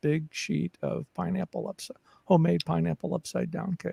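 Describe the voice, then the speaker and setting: Somewhat breathy and dark, mellow in tone, a man speaks at a moderate pace in a very clean recording with a silent background and a dry, close sound with no echo. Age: 60s. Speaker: caregiving advocate and podcaster. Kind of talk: casual interview chat. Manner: halting, many fillers and repetitions.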